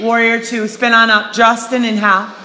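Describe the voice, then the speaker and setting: Fairly high-pitched speech from a woman amid clearly audible background noise. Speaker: fitness instructor. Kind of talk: guided yoga class, cueing poses to breath. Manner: rhythmic, breath-timed, then softer and calmer in the cool-down.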